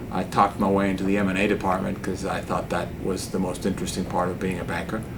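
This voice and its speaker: Over noticeable background noise, a man talks very fast with a Spanish accent. His voice is very deep and low, in a flat monotone. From Cuba, then US boarding school from age 11. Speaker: investment banker. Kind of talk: interview.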